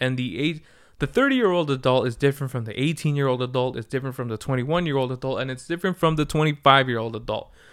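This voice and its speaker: A man speaks at a medium pitch with ordinary pitch variation in a normal speaking voice, on a very clean recording with a silent background. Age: 20s. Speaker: podcast host. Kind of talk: casual solo monologue. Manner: casual, laid-back.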